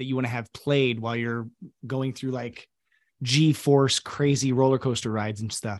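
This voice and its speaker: A man speaks in an unremarkable speaking voice at medium pitch with fairly even intonation. The sound is dry and close, with no echo. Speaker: podcast host. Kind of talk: casual interview.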